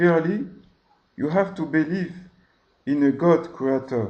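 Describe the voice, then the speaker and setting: A man with a French accent, very slow pace, dark, mellow tone and ordinary pitch variation. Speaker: religious video host. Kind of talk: religious monologue. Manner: hesitant.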